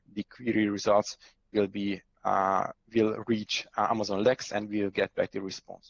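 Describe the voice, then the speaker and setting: A man with a Hungarian accent speaks at a medium pitch and a moderate pace. The sound is dry and close, with no echo. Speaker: cloud architect. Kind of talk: conference talk with live demo. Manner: halting, many fillers.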